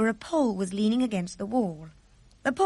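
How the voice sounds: Ordinary pitch movement in a natural reading voice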